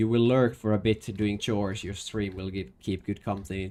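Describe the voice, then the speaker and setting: A man with a strong Finnish accent, a very deep, low pitch and fairly even intonation. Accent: thick Finnish. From Finland. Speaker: streamer. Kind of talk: casual gaming livestream chat. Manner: halting, many restarts.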